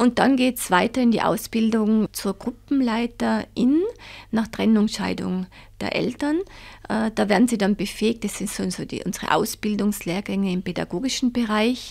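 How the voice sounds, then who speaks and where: In a very clean recording with a silent background, a woman uses an ordinary speaking voice, fairly high in pitch, at a moderate pace with ordinary pitch variation. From Tyrol, Austria (Reith bei Seefeld). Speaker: head of a child support organisation. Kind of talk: interview.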